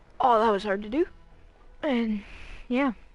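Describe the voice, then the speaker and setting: The speaker is a woman. Her pitch rises and falls in an ordinary way. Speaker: gaming streamer. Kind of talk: casual live stream commentary. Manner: whispering.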